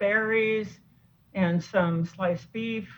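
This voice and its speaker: A woman speaks at a very slow pace. Her medium pitch shows ordinary pitch variation. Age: 60s. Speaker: doctor and food addiction author. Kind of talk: interview.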